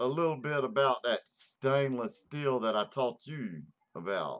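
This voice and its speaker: A man with a Southern US accent, fairly high in pitch, at a very slow pace. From US South. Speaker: vaping channel host. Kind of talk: casual chat.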